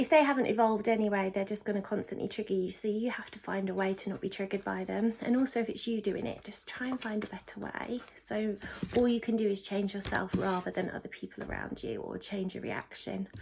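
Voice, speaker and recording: Against noticeable background noise, a woman of medium pitch talks at a very fast pace with hardly any pauses and fairly even intonation. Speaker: tarot reader. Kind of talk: tarot reading. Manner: casual, with fillers.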